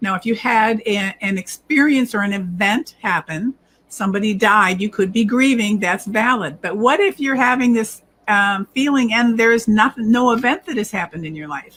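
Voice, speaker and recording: This woman has an unremarkable speaking voice, fairly high in pitch with ordinary variation, and she talks at a moderate pace. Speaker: self-help video host. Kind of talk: tutorial talk.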